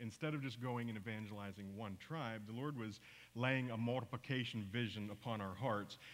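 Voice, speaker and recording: A man with an American accent at medium pitch, a moderate pace and ordinary pitch variation. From US, teen years in Papua New Guinea. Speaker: missionary; speaker. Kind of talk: church mission report talk. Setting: church service with congregation. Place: church.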